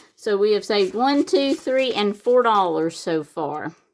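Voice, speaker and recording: With a Southern US accent, a woman speaks in very wide pitch swings on a very clean recording with a silent background. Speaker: savings challenge YouTuber. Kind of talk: casual tutorial-style vlog narration. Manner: casual, chatty with fillers.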